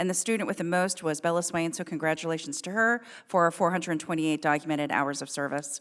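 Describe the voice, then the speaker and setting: A woman speaks at a very fast pace with hardly any pauses. Her pitch is fairly low. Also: ordinary pitch variation. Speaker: school board member. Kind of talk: board meeting report. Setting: public meeting.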